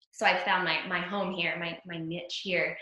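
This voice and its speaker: A woman at a medium pitch is heard with audible room echo. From US, Venezuelan household, grew up all over, New Jersey. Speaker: actress. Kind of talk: interview. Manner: animated.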